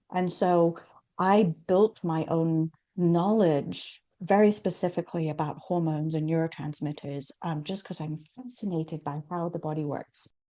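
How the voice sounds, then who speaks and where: Here a woman has a normal speaking voice, fairly low pitch and ordinary pitch variation, talking at a moderate pace. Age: 60s. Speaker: hormone expert and entrepreneur. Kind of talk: interview.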